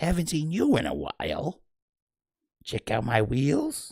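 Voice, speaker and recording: A man puts on a nasal, whiny character voice, pitched fairly high and delivered at a fairly slow pace. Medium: read story.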